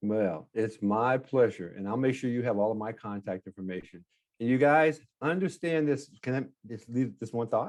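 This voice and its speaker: Against a quiet background, a man of medium pitch talks at a moderate pace with lively intonation. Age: 60s. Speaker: real estate note investor. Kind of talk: podcast interview. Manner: halting.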